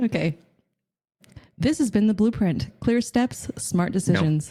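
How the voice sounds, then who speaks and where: This woman has a medium pitch, a dark, mellow tone and a somewhat breathy quality. Her pitch swings very widely while her loudness stays very even. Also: fairly slow pace. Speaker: podcast host.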